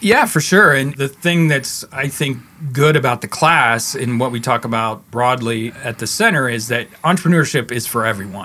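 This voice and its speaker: In a normal speaking voice, a man with an American accent talks at a moderate pace and medium pitch, with ordinary pitch variation and hardly any pauses. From West Virginia (Parkersburg area). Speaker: entrepreneurship professor and business center director. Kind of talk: casual interview conversation.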